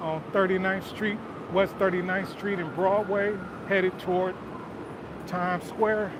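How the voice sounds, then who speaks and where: A man speaks at a fairly slow pace in a Southern US accent, his voice high for a man and his intonation monotone and flat, with long, frequent pauses. The room has an audible echo and noticeable background noise. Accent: country-sounding Southern. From Detroit, Michigan. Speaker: walking-tour livestreamer. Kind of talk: casual livestream chat. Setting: outdoors walking city streets.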